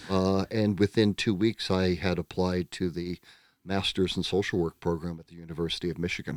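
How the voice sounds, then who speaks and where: In an American accent, a man with a very deep, low voice talks fairly quickly in a flat monotone, his loudness swinging widely, with a dry, close sound and no echo. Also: very clean recording, silent background. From United States. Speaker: psychotherapist. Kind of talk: casual interview.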